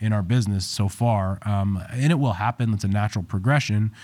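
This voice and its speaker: At a fairly quick pace, a man speaks in a fairly low pitch with an unremarkable speaking voice. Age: 30s. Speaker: chiropractor and business coach. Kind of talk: interview.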